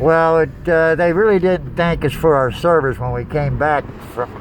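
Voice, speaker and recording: There is noticeable background noise behind this man's fairly high-pitched voice. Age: 60s. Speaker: small business owner and veteran. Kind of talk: casual vlog monologue. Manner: halting, many fillers.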